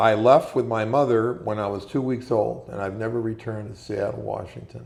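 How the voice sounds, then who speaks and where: With an Upper Midwest accent, a man talks at a moderate pace with fairly low pitch and fairly even intonation, and room echo is audible. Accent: Upper Midwest American. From Minnesota, Minneapolis. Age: 70s. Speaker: war veteran. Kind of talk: interview.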